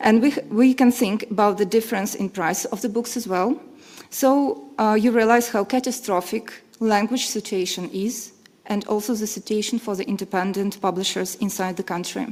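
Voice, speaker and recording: Speaking with a Belarusian accent, a woman uses a fairly high pitch, ordinary pitch variation and a moderate pace. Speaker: literary translator and publisher. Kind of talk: conference panel talk. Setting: conference panel with audience.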